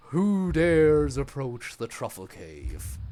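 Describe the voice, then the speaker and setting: A man puts on a booming character voice at a medium pitch, speaking at a fairly slow pace. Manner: menacing, booming.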